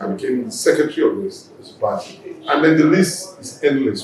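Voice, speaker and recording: Noticeable background noise and audible room echo surround the voice. A man talks at a moderate pace. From Nigeria, Lagos (Mushin). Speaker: politician. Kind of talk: interview.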